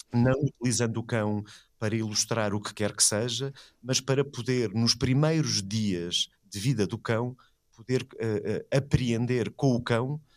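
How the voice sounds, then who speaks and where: Here is a normal speaking voice with ordinary pitch variation at a fairly slow pace. The recording is very clean, with a silent background. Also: man. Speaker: philosophy professor and art critic. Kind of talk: conversational interview.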